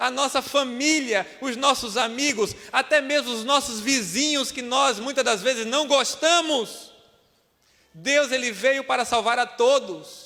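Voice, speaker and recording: A man's raised, projected voice at an extremely high pitch, fairly slow in pace, with fairly even intonation. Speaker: preacher. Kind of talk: sermon. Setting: church.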